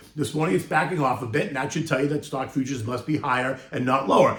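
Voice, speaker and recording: The pitch of this man's voice is fairly high. Behind him runs noticeable background noise. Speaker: market commentator. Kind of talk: casual market commentary to camera.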